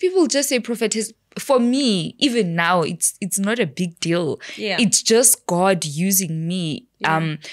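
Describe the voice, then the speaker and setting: A woman at a fairly slow pace over a quiet background. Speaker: podcast guest. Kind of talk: interview answer. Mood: relaxed, laughing at times. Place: studio. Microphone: studio mic.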